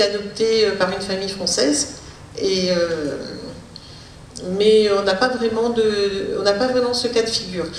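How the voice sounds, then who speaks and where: A woman speaks with ordinary pitch variation. Audible room echo and noticeable background noise fill the recording. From Réunion, arrived from Pondicherry aged 4. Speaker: speech therapist and linguist. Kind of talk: Q&A after lecture. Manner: hesitant, many fillers.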